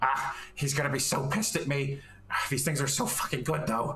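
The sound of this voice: A man doing a put-on character voice at a fairly high pitch is heard against clear background noise and sound effects in the background. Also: moderate pace.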